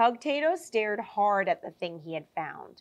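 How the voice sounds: The intonation is lively. It is a natural reading voice.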